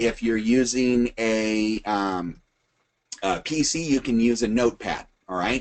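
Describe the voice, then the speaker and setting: A man's normal speaking voice at medium pitch, with ordinary pitch variation. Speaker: webinar presenter, retired firefighter. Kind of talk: tutorial. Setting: recorded webinar.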